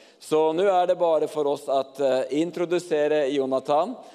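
Noticeable background noise runs through the clip. The man's voice is fairly high-pitched. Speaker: pastor. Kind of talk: church service hosting. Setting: stage with audience.

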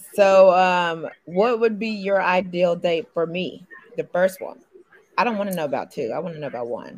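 With an American accent, a woman speaks in an unremarkable speaking voice at a moderate pace with ordinary pitch variation. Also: medium pitch for a woman. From Indiana. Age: 30s. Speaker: dating show contestant, actress and model. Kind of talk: casual chat.

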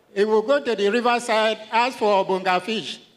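A man with a Nigerian accent speaks in a high pitch. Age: 60s. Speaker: retired teacher. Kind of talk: testimony. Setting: church.

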